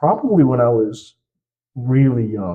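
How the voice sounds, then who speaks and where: A man talks at a fairly slow pace in a somewhat breathy voice. His pitch is medium, with ordinary pitch variation. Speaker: upcoming musician, rapper. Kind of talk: casual chat. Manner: stuttering at times.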